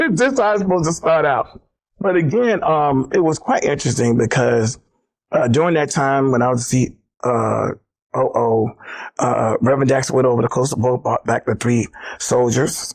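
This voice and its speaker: Speaking at a moderate pace with a fairly high pitch, a man in an American accent keeps very even loudness and ordinary pitch variation. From US South, South Carolina. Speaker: former civil rights organization executive. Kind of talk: interview storytelling. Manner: animated.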